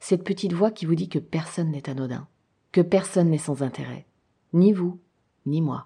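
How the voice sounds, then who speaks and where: A woman speaks at a moderate pace in a fairly low, somewhat breathy voice with a dark, mellow tone, leaving long, frequent pauses. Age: 40s. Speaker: podcast host. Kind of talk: personal testimony monologue.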